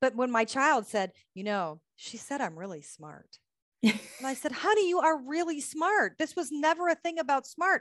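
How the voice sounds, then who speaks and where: Over a quiet background, a woman with an American accent talks at a moderate pace, her high pitch moving in very wide swings. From United States. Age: 40s. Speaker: bodywork therapist and author. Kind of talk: interview.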